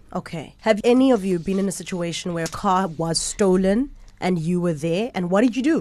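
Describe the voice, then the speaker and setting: A woman speaks at a fairly quick pace with lively intonation, a medium pitch and a dark, mellow tone. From South Africa. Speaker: podcast host. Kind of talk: interview. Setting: studio.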